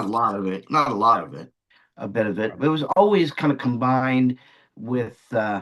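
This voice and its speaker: A man with a plain, everyday voice and an American accent, medium in pitch, lively in intonation, at a moderate pace with big swings in loudness. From Long Island, New York. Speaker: magician and entertainer. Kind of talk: interview answer.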